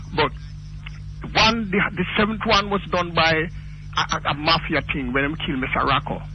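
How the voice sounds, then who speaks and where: Someone with a Jamaican accent speaks at a moderate pace with ordinary pitch variation and long, frequent pauses over noticeable background noise. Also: man, fairly high pitch for a man. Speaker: caller. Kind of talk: phone-in call. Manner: animated.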